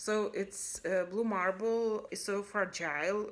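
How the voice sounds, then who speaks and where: On a very clean recording with a silent background, a woman speaks very slowly at a medium pitch with fairly even intonation. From Lithuania. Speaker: cross-stitch video blogger. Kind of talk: casual hobby video monologue. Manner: halting, many fillers and restarts.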